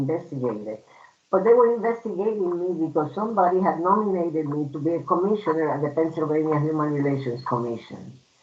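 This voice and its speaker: The speaker talks at a fairly quick pace with a Puerto Rican accent. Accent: Puerto Rican Spanish accent, lifelong. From Puerto Rico. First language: Spanish. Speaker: human rights commissioner. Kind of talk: personal testimony at a storytelling event.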